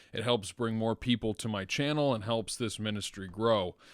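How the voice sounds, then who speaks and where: Heard in a very clean recording with a silent background and a dry, close sound with no echo, a normal speaking voice moves at a moderate pace with fairly even intonation. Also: man. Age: 20s. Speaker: podcast host and deacon. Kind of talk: interview conversation; channel outro.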